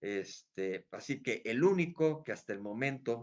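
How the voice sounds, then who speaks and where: A man's lively intonation carries along at a fairly slow pace. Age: 60s. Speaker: history enthusiast youtuber. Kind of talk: casual history talk. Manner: hesitant, many fillers.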